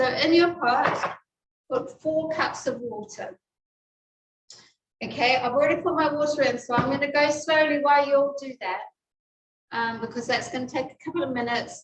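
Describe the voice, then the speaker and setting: Using long, frequent pauses, a woman with a New Zealand accent speaks at a high pitch and a moderate pace, with ordinary pitch variation. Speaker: cooking class teacher. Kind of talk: cooking class.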